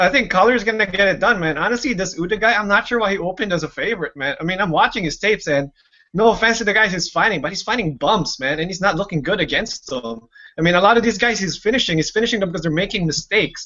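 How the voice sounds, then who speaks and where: A man speaks at a very fast pace with a Canadian accent, his pitch high and his intonation lively. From Canada. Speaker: MMA writer. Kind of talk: casual panel discussion.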